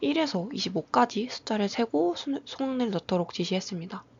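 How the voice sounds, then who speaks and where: A woman talks at a moderate pace in a somewhat breathy, medium-pitched voice. Her pitch swings very widely. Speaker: graduate student researcher. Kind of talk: academic presentation. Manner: formal; halting.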